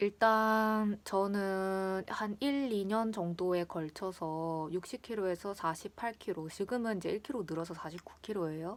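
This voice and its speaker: With a Gyeongsang accent and a relaxed tone, a woman talks at a fairly slow pace and medium pitch with ordinary pitch variation and hardly any pauses, on a very clean recording with a silent background. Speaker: vlogger. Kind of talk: casual chat. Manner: relaxed, chatty.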